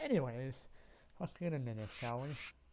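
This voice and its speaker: Over music in the background, a man speaks at a moderate pace with audible room echo. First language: not English. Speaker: gaming streamer. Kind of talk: let's play commentary.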